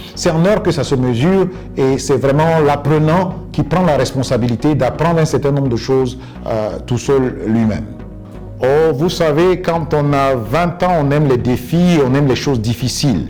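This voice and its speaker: Over music in the background, a man speaks at a fairly slow pace in a fairly high voice, with ordinary pitch variation and very even loudness. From Côte d'Ivoire. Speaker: English coach and interpreter. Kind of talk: interview answer.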